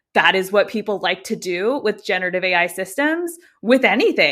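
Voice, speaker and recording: A woman's fairly high voice with very wide pitch swings, a fairly quick pace and an American accent. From United States. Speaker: AI policy expert. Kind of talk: podcast interview.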